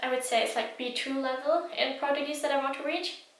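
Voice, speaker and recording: With a German accent, a woman talks in fairly even intonation amid audible room echo. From Germany. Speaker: language learning vlogger. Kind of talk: casual vlog talk. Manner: hesitant with many fillers.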